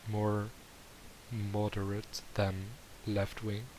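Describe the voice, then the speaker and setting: A man with a Dutch accent, fairly low-pitched, at a very slow pace. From Netherlands. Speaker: YouTube reactor. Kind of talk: reaction commentary. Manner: halting.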